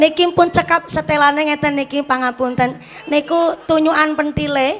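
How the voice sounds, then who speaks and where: A woman with a Javanese accent speaks high at a moderate pace. Her intonation is fairly even, and noticeable background noise is present. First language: Javanese (speaking Indonesian). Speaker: female Islamic preacher. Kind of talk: religious sermon with humor. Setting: stage with audience and PA system. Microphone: echo effect on PA removed.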